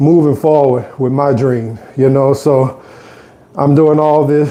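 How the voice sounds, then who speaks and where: In a New Orleans accent, a man with a fairly high pitch talks in a monotone, flat intonation. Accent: New Orleans Southern US. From US South, New Orleans. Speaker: fitness vlogger. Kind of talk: casual live stream chat while exercising. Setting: on an exercise bike at home.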